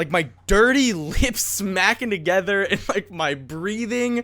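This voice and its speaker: Lively intonation and a bright, sharp tone mark this man's speech. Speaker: podcast host. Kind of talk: casual chat. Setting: home recording in a hot room. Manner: occasional stutter.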